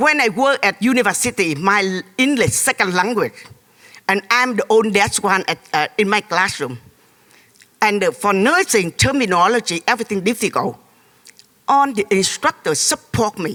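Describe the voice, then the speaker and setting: Someone speaks at a moderate pace in a Vietnamese accent. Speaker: audience member, former refugee and nurse. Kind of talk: emotional testimony. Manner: animated.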